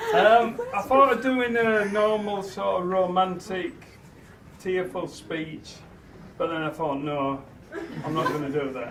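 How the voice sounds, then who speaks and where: A man with a Yorkshire accent, high-pitched and warm in tone, lively in intonation, at a fairly slow pace with long, frequent pauses, over noticeable background noise. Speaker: father of the bride. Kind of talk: wedding speech. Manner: humorous, warm.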